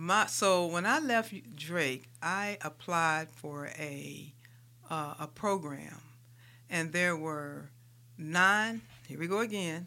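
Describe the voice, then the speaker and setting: A woman with an American accent speaks very slowly at a fairly low pitch, with long, frequent pauses. Her tone is bright and sharp, and the recording is very clean with a silent background. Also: ordinary pitch variation. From US Midwest, St. Louis, Missouri. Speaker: transit agency executive. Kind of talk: interview.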